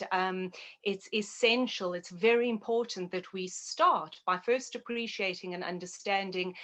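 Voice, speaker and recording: Fairly slow, fairly even speech from a woman with a South African accent, medium in pitch and bright and sharp in tone. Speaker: naturopath and health educator. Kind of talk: interview.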